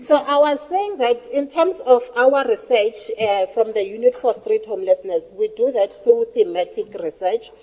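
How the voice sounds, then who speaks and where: Loud and high-pitched, a woman talks at a moderate pace with hardly any pauses. Her pitch swings very widely, and noticeable background noise sits behind her. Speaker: researcher. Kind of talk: workshop presentation.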